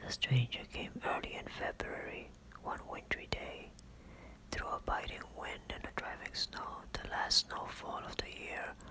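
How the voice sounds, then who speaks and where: A man whispering in a gentle tone at a fairly slow pace, with noticeable background noise. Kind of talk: ASMR audiobook reading. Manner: whispered, soft, gentle.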